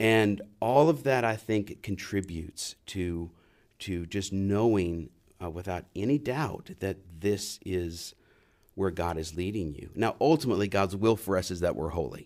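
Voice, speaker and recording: With an American accent and a plain, everyday voice, a man speaks at a fairly low pitch and a fairly slow pace with lively intonation, in a very clean recording with a silent background. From US South, New Orleans. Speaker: seminary professor. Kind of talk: interview.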